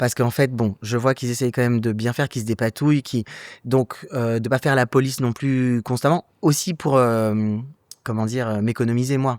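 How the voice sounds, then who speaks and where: Captured in a dry, close sound with no echo and a silent background on a very clean recording, a man talks at a moderate pace with medium pitch. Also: fairly even intonation. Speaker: actor, writer, director. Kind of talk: interview answer. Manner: casual, hesitant.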